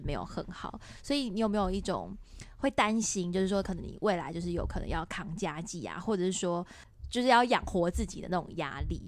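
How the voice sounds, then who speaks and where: The speaker moves at a fairly quick pace with lively intonation. Vocal fry runs through the voice. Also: woman. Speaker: podcast host. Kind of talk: casual interview chat.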